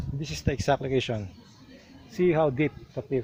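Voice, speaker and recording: Noticeable background noise underlies a man whose intonation is lively. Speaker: travel vlogger. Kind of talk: travel vlog narration. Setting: outdoors. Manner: soft-spoken, lowered voice.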